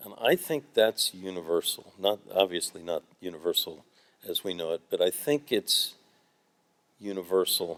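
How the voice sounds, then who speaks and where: A man with a Midwestern accent at a moderate pace, big swings in loudness, dry, close sound with no echo. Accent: American, Midwestern. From US Midwest, Cincinnati Ohio. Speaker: themed entertainment designer, award recipient. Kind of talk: award acceptance talk with audience Q&A. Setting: stage with audience.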